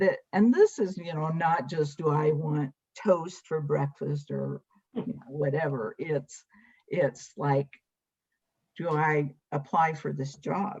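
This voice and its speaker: A woman speaks at a very slow pace with a very deep, low pitch and ordinary pitch variation. Her voice is somewhat breathy, with big swings in loudness. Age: 70s. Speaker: guest sharing faith journey. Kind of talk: testimony.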